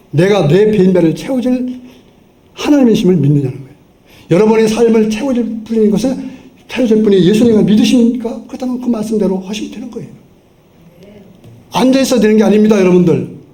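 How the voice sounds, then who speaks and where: This man talks at a very fast pace, broken by long, frequent pauses. His voice is high-pitched with ordinary pitch variation, and the room echo is audible. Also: big swings in loudness. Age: 70s. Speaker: pastor. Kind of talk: sermon. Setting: church. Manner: animated.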